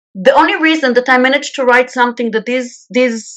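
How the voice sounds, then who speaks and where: A woman talks at a very fast pace. Her pitch is fairly high, with ordinary pitch variation. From Israel. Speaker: peace activist. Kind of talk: radio interview.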